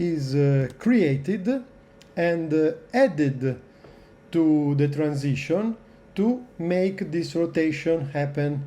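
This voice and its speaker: A man speaks with an Italian accent. His pitch sits fairly high and his intonation is lively. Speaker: video editing tutorial maker. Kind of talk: tutorial. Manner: hesitant, many filler sounds.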